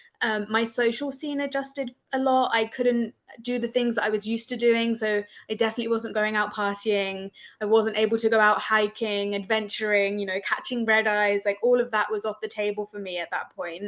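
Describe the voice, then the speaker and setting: A woman speaks with an English accent at a fairly quick pace. Her intonation stays fairly even. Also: fairly high pitch for a woman. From England. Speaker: breast cancer survivor, support group facilitator. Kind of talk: panel discussion.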